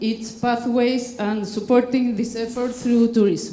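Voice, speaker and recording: Heard through noticeable background noise and audible room echo, a woman with a fairly high pitch speaks in a Spanish accent. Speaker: conservationist. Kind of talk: conference talk. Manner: halting.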